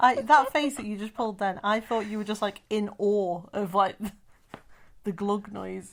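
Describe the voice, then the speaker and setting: A woman with an unremarkable speaking voice at a medium pitch and ordinary pitch variation. Her loudness swings widely. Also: moderate pace. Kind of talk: casual podcast conversation.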